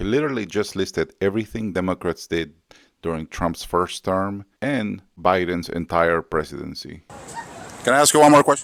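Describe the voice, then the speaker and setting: With a non-native accent, a man speaks at a moderate pace in a very deep, low pitch, using lively intonation, in a dry, close sound with no echo. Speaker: street interviewer, YouTuber. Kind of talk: street interview with voice-over asides. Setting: outdoors at a protest.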